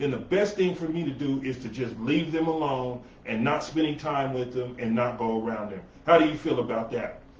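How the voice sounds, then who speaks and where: Lively intonation marks this man's speech, heard over noticeable background noise with audible room echo. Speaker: talk show host. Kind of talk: casual chat.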